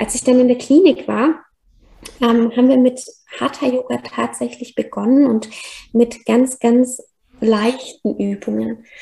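Long pauses come often in this woman's speech. Her pace is very slow. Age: 30s. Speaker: yoga teacher and podcaster. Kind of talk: personal testimony in interview. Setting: remote call.

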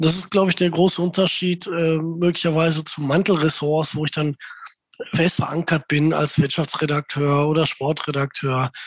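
Speaking at a moderate pace, a man with a fairly high pitch keeps a flat, monotone intonation. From Gelsenkirchen, Ruhr area, Germany. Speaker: local newspaper editor. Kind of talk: interview.

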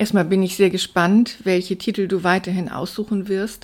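A woman with an ordinary speaking voice at a medium pitch, with fairly even intonation and a moderate pace. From northern Germany, Stade near Hamburg. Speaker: journalist and poet. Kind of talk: interview. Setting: studio.

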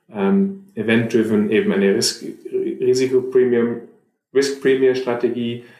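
A fairly slow man's voice at medium pitch, dark and mellow in tone, with lively intonation and audible room echo. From Germany, Munich. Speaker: fund manager. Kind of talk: interview. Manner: halting, many repetitions and fillers.

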